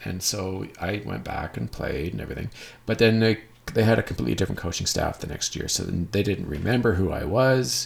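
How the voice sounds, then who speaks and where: A man with a western Canadian accent talks at a fairly quick pace in a fairly low voice. His intonation is lively, and there's noticeable background noise. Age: 40s. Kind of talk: casual monologue. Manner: halting.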